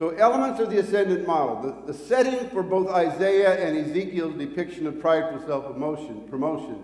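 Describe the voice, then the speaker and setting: A man's high-pitched voice with an American accent, fairly quick and lively in intonation, plus audible room echo. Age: 60s. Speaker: preacher. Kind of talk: sermon. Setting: church hall, live-streamed with small audience. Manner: halting, repeats words.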